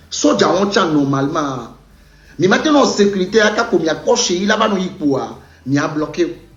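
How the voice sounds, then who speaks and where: A man with a high voice speaks at a moderate pace with lively intonation, and the recording has audible room echo and noticeable background noise. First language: a Togolese language (not French) (speaking French). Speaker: former footballer. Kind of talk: video monologue addressing a fellow player. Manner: repetitive, code-switching.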